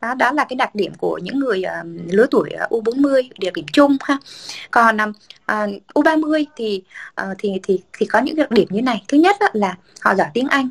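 With a plain, everyday voice, a woman talks at a fairly slow pace with a fairly high pitch and lively intonation, the sound dry and close with no echo. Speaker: podcast co-host, communications professional. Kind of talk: casual chat.

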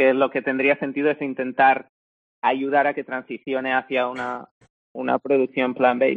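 Here a man speaks at a moderate pace and medium pitch. The intonation stays monotone and flat. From Spain, small village. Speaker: co-founder of a plant-based meat company. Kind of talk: interview.

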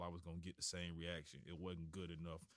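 This man speaks with a Florida accent. His pitch is very deep and low, and his pace fairly quick. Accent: US Southern, Florida. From Florida, Tallahassee. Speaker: high school football coach. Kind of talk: casual interview. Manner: halting, many repetitions and fillers.

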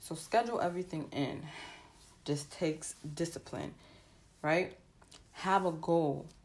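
A woman with a fairly low pitch and an animated tone speaks at a fairly slow pace. Her pitch varies in an ordinary way, broken by long, frequent pauses. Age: 20s. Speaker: podcast host. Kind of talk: casual motivational monologue.

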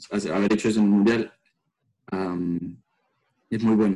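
A man with a fairly low, dark, mellow voice talks at a fairly slow pace with fairly even intonation. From El Salvador. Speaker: pole vaulter and university student. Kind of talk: interview.

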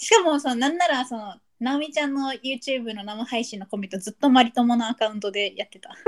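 A woman talks at a very fast pace in a high pitch, with hardly any pauses. Her pitch varies in an ordinary way while her loudness swings widely. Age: 20s. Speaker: podcast co-host. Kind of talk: casual chat.

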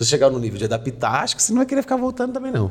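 Speaking very quickly and a little breathily, a man keeps his pitch variation normal. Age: 20s. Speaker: comedy content creator. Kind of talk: casual chat.

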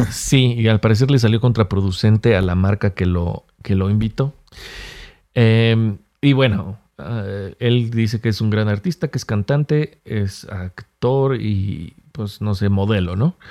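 Very slowly and in a Mexican accent, a man speaks at a fairly low pitch with ordinary pitch variation and a dark, mellow tone, the sound dry and close with no echo in a very clean recording with a silent background. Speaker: podcast host. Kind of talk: casual chat.

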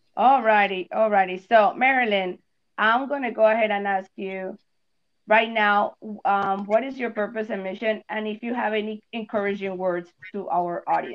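A woman's fairly high voice at a moderate pace. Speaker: podcast host. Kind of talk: bilingual casual podcast chat. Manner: animated.

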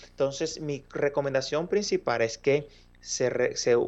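A man speaks at a moderate pace with a fairly high pitch and lively intonation, in a plain, everyday voice. The background is quiet. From Dominican Republic. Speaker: mobile software developer. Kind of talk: casual interview.

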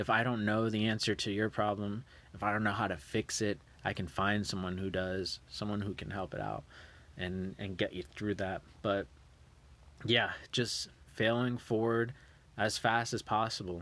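This man has a normal speaking voice. His pitch is fairly low and his intonation fairly even. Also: moderate pace, quiet background. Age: 30s. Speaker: podcast host. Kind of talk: solo podcast monologue. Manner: casual, filler-heavy.

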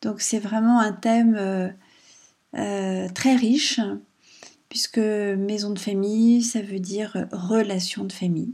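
At a very slow pace, a woman speaks in a somewhat breathy, dark, mellow tone at medium pitch with fairly even intonation. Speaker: podcast host and writer. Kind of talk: casual monologue. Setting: at home. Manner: gentle, calm.

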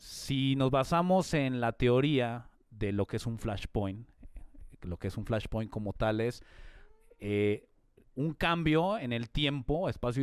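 Lively intonation marks this fairly slow delivery in a Mexican accent. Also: man. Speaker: podcast co-host. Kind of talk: casual chat.

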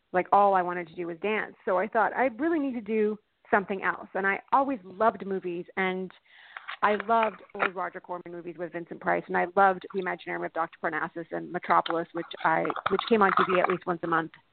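At a fairly quick pace, a woman with a plain, everyday voice speaks at medium pitch with ordinary pitch variation. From Canada. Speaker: production designer. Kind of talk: interview chat. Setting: phone call.

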